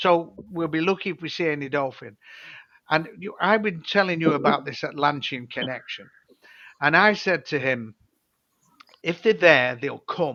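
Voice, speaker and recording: A speaker with a British accent talks at a moderate pace in a bright, sharp tone. Long pauses come often. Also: man, fairly high pitch for a man, ordinary pitch variation. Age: 70s. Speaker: former dolphin trainer and author. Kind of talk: casual chat. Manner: halting.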